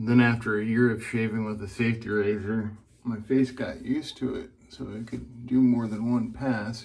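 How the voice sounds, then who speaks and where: A quiet, relaxed tone with monotone, flat intonation at a moderate pace, in audible room echo. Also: man, medium pitch for a man. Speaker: wet shaving video creator. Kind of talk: casual shave tutorial.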